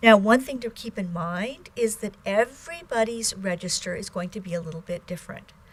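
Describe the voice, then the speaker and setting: A woman's voice with ordinary pitch variation, hardly any pauses and big swings in loudness, over noticeable background noise. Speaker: Chinese language teacher. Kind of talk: lecture. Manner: slow.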